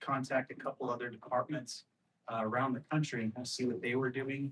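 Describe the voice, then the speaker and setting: Fairly quick and fairly even in intonation, a man speaks at a medium pitch. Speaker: police lieutenant. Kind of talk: presentation at community meeting. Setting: community meeting at police substation. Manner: volume inconsistent, too loud or too quiet.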